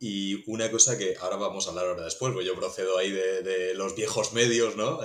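A man with a fairly low voice speaks fairly quickly, his intonation fairly even, against noticeable background noise. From Murcia, Spain. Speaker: podcast host and TV news journalist. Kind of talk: interview conversation.

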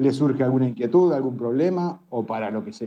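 A man's medium-pitched voice carries ordinary pitch variation and moves at a moderate pace. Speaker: family doctor and social network founder. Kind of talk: live audio room discussion.

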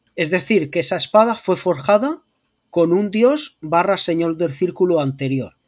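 Lively intonation marks a man's high-pitched voice. The recording is very clean with a silent background. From Murcia, Spain. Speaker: art historian and YouTube lore creator. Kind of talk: casual chat.

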